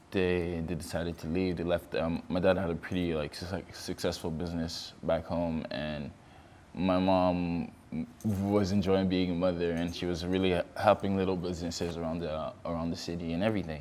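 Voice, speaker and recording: A man's very deep, low voice, monotone and flat in intonation, at a moderate pace. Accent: French. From Ivory Coast, raised in Canada. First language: French. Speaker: fashion model. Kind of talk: interview.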